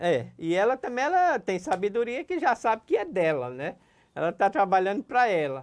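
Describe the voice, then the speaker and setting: With very wide pitch swings, a high-pitched man talks at a moderate pace against a quiet background. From Pernambuco, Brazil (Serra Talhada, sertão); Pernambuco, Brazil. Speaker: business owner; interviewee. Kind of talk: interview. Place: studio. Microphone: lapel.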